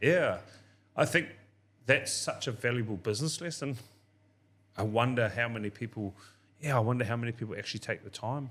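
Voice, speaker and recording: In a New Zealand accent, a man speaks at a medium pitch with ordinary pitch variation. His pace is fairly quick, broken by long, frequent pauses. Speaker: podcast host. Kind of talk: casual interview chat. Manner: loud.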